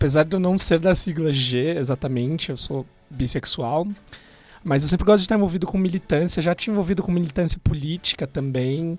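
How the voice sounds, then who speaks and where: The speaker is a man with a high pitch and ordinary pitch variation. He talks at a fairly quick pace. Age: 20s. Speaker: podcast host. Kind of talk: casual chat.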